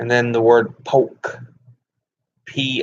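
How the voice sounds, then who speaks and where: Someone talks at a very slow pace in a Southern US accent. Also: man. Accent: Southern twang. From US South. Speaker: gaming streamer. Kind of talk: casual live stream chat. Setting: live stream.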